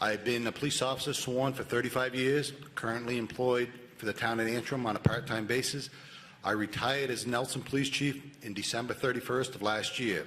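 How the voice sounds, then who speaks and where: Over noticeable background noise, a man talks at a fairly quick pace with medium pitch and fairly even intonation. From New Hampshire, Cheshire County. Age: 50s. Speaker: police officer, sheriff candidate. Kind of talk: candidate statement.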